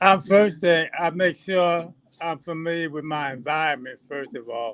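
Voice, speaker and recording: At a moderate pace, a man talks with big swings in loudness, a fairly high pitch and ordinary pitch variation. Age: 60s. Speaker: drone pilot and instructor. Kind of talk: casual chat. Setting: video call. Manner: halting. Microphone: talking on phone.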